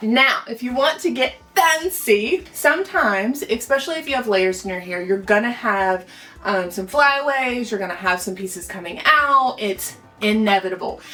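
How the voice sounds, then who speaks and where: Noticeable background noise sits behind a woman whose fairly high pitch makes very wide swings while her loudness shifts by big amounts. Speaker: hairstylist. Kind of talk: tutorial. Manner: fast; casual, chatty.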